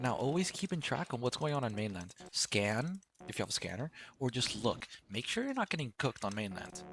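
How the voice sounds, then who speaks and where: This man speaks at a medium pitch. His pitch swings very wide. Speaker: gaming tutorial creator. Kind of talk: tutorial. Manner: casual; fast.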